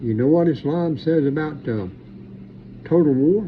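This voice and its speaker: A man talks at a moderate pace with a fairly high pitch and ordinary pitch variation. Audible room echo surrounds his voice. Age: 60s. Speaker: preacher. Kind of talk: monologue commentary. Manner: animated.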